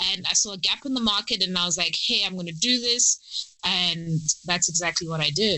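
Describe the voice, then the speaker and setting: Over noticeable background noise, a woman talks at a fairly quick pace in an animated tone with ordinary pitch variation. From South Africa, Durban. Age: 20s. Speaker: PhD candidate in virology and science YouTuber. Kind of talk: podcast interview. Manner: animated, many fillers.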